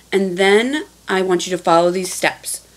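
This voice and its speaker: A woman speaks over noticeable background noise. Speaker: teacher. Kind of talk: tutorial.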